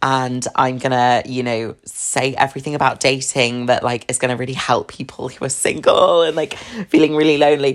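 A woman with a southern English accent speaks at a moderate pace. Her pitch is very deep and low. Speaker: podcast host. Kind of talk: casual chat.

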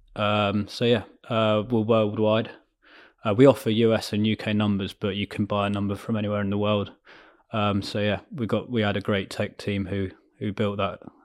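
This man has a southern English accent and a fairly low pitch. He speaks at a moderate pace with monotone, flat intonation. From southern England (Surrey/Berkshire, near Ascot). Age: 30s. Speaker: entrepreneur. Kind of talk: interview. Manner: hesitant, many fillers.

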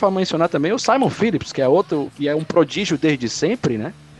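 With very wide pitch swings, a man talks at a fairly quick pace in a dry, close sound with no echo, over noticeable background noise. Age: 30s. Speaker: podcast co-host. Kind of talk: casual chat.

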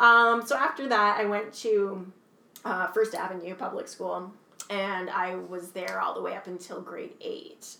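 A woman with a Canadian accent and a medium pitch talks in an animated tone at a fairly slow pace, with big swings in loudness and audible room echo. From Canada, Kingston, Ontario. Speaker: actor and writer. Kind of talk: casual interview chat. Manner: animated, laughing often.

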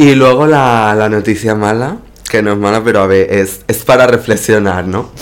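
With an animated tone, a man speaks at a moderate pace in a fairly low pitch. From Spain, Extremadura (Cáceres). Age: 20s. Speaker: actress and drag performer. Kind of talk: casual chat.

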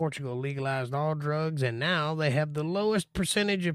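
A man with an American accent speaks at a moderate pace in a fairly high pitch, a plain, everyday voice. The recording is very clean, with a silent background and a dry, close sound with no echo. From Florida. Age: 40s. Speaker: bible teacher. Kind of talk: livestream bible study with chat Q&A. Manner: casual.

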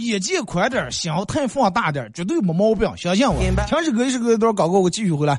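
Pitch swings very widely at a very fast pace over noticeable background noise. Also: man, high pitch for a man. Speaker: radio host. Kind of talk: dialect comedy talk show monologue.

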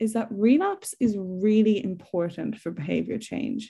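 With an Irish accent, a woman talks at a moderate pace in a fairly high, somewhat breathy voice. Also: quiet background. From Ireland. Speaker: psychologist giving a talk. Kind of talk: lecture. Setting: online webinar.

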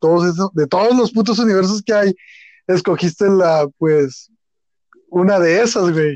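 The voice has a dark, mellow tone and fairly even intonation at a fairly slow pace. The sound is dry and close with no echo. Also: man. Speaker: podcast co-host. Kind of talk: casual chat.

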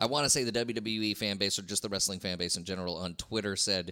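Fairly quick, fairly evenly intoned speech in an American accent, bright and sharp in tone, on a very clean recording with a silent background. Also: man. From southeast Texas. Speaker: podcast host and comedian. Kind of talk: casual chat.

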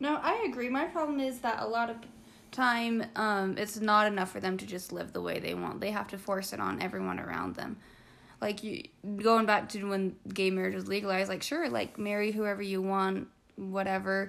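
Here is an unremarkable speaking voice from a woman, pitched in the medium range. She keeps a moderate pace, with ordinary pitch variation. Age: 20s. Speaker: college student. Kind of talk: casual chat.

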